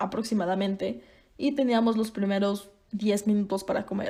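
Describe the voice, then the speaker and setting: A woman with a Mexican accent and a dark, mellow tone at a moderate pace. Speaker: podcaster. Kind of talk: casual monologue. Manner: conversational.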